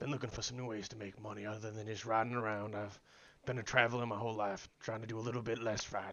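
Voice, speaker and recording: A man puts on a raspy character voice at a medium pitch. He rattles along at a very fast pace in a monotone, flat delivery. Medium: game stream. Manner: polite, folksy, says "sir" often.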